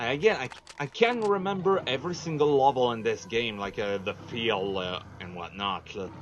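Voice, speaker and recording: A man's medium-pitched voice at a moderate pace, with very wide pitch swings and big swings in loudness, over noticeable background noise. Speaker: gaming video commentator. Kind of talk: let's play commentary. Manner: halting, many fillers.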